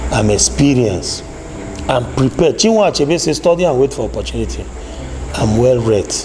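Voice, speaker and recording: A man talks at a fairly quick pace but with long, frequent pauses, over noticeable background noise. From Nigeria, Cross River State (Ogoja). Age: 40s. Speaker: politician. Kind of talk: interview.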